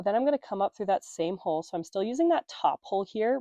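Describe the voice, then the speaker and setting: A woman talking at a very fast pace, dry and close with no echo, over a quiet background. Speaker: embroidery tutorial creator. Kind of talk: tutorial. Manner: casual, conversational.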